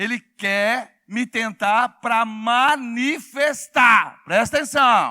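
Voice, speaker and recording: A man's raised, projected voice at an extremely high pitch, animated and bright with a sharp edge, ordinary pitch variation, dry and close with no echo, on a very clean recording with a silent background. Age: 60s. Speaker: pastor. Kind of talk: sermon. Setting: church with congregation. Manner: animated, call-and-response with congregation.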